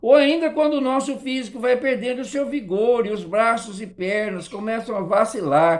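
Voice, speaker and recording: The speech runs on with hardly any pauses. Noticeable background noise sits behind it. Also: moderate pace. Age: 60s. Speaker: Sunday school teacher. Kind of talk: Sunday school lesson.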